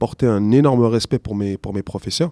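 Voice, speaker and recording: A man with a fairly low pitch and a dark, mellow tone is heard in a dry, close sound with no echo and a very clean recording with a silent background. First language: not French (speaking French). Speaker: teacher. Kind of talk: interview. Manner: halting.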